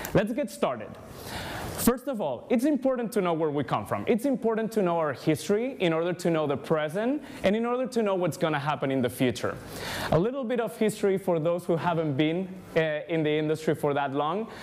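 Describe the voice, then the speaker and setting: A man with a Spanish accent and a high pitch talks at a fairly quick pace with very wide pitch swings over light background noise. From Spain. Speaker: ad tech industry speaker. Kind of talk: conference talk. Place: hall.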